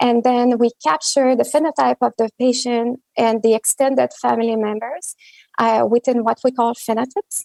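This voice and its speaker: In a French accent, a woman with a fairly high pitch and a dark, mellow tone speaks at a moderate pace with ordinary pitch variation, the sound dry and close with no echo. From Quebec, Montreal. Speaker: genomics researcher. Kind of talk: conference talk. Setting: virtual meeting.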